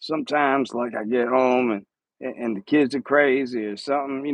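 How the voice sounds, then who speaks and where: A man with a Philadelphia accent speaks at a medium pitch and a fairly quick pace, using fairly even intonation. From Philadelphia, US. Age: 40s. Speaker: live streamer. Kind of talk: casual chat. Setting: home. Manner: casual, halting with repeated words.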